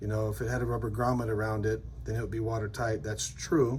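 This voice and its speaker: Room echo can be heard around the voice. The man talks fairly quickly. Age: 50s. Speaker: custom metal maker and channel host. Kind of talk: product showcase video. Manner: casual and enthusiastic.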